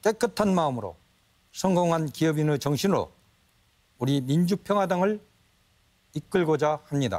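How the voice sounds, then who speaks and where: Lively, high-pitched speech from a man, fairly slow in pace. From Jeonju, North Jeolla, South Korea. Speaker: party leadership candidate, businessman. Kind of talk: debate opening statement. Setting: TV studio debate.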